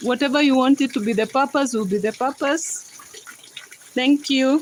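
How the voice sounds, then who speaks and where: A woman with a Kenyan accent speaks at a high pitch over noticeable background noise. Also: ordinary pitch variation, moderate pace. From Kenya, Rift Valley. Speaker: livestreamer. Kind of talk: casual chat.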